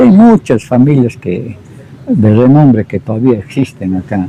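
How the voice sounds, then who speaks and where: A man of medium pitch talks fairly slowly while noticeable background noise carries on. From Peru, Quillabamba (Cusco region). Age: 60s. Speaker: local elder interviewee. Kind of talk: oral history interview.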